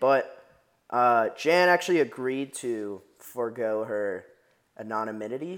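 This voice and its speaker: A man with an American accent has a normal speaking voice at medium pitch, with lively intonation. The recording is very clean, with a silent background. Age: 20s. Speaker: podcast co-host. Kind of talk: casual chat. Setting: studio.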